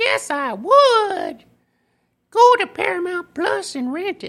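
In a squeaky, put-on character voice with a Southwestern US accent, the speaker goes at a fairly slow pace. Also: woman, extremely high pitch for a woman. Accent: Southwestern American.

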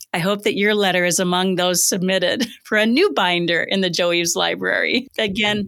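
At a moderate speed comes an unremarkable speaking voice. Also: woman. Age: 60s. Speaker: podcast host. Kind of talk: interview.

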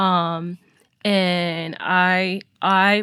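The recording is very clean, with a silent background. A woman's voice is all that is heard. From Nigeria. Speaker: church member sharing experience. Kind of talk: casual discussion. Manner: halting.

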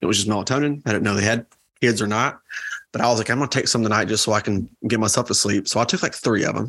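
A man with a Southern US accent and fairly low pitch, at a very fast pace, with fairly even intonation and very even loudness. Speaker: podcast co-host. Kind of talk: casual chat.

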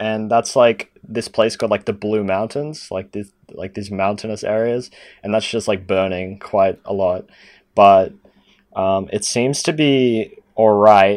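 Fairly slow speech from a man with an Australian accent, fairly low in pitch with fairly even intonation, against a quiet background. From Sydney, Australia. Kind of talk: casual chat.

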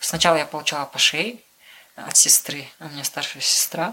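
Noticeable background noise sits under a woman who whispers at a moderate pace. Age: 20s. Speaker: car mechanic, former journalist. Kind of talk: interview.

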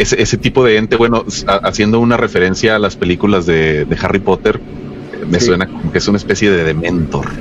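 At a very fast pace, a man with a fairly low pitch speaks with very even loudness and ordinary pitch variation over noticeable background noise. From Mexico, Los Mochis, Sinaloa. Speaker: podcast co-host. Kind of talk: casual chat.

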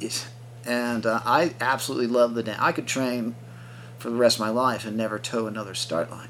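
A man speaks at a medium pitch with fairly even intonation and a fairly quick pace. It is a plain, everyday voice. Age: 50s. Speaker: multi-sport athlete and yoga coach. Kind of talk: interview.

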